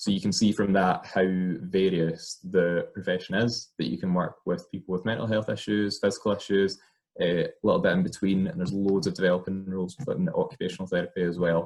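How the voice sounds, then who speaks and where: A man with a Scottish accent talks in a very deep, low voice with ordinary pitch variation. His pace is fairly quick, with hardly any pauses. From Scotland, small rural town. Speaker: occupational therapist. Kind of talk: personal career talk. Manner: hesitant, many fillers.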